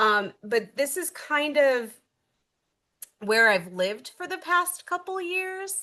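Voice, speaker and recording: In a raised, projected voice with a bright, sharp tone, a woman speaks at a high pitch and a very slow pace, making very wide pitch swings. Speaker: high school English teacher and dean. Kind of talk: webinar presentation. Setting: online webinar.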